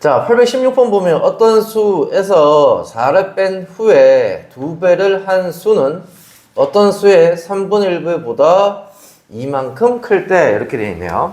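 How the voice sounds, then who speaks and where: A man with a high pitch and lively intonation speaks at a very slow pace, with audible room echo and noticeable background noise. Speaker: math tutor. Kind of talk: tutoring lesson. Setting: classroom at math academy, recorded. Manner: casual, informal.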